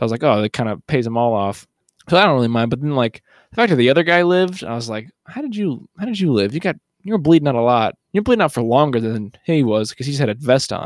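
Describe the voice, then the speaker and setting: In a very clean recording with a silent background and a dry, close sound with no echo, a man with a medium pitch speaks at a very fast pace in a playful tone with lively intonation. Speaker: podcast host. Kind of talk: casual comedic podcast banter. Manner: joking, playful.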